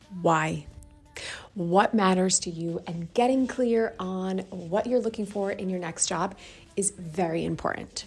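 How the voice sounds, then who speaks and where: A woman is whispering. Her pace is fairly slow. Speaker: lifestyle and career vlogger. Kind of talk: casual vlog tutorial. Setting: library.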